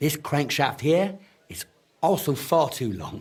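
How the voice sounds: A man does a put-on character voice at a fairly high pitch with a slightly husky edge. He talks at a slow pace with big pitch swings.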